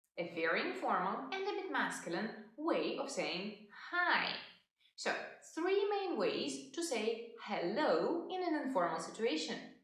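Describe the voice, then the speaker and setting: With audible room echo, a woman talks fairly slowly in a high pitch that swings very widely. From Russia. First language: Russian. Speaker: language teacher. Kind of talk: tutorial.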